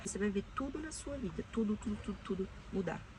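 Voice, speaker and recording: A woman is speaking. Her pace is very fast. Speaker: self-help video creator. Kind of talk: casual advice monologue. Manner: animated.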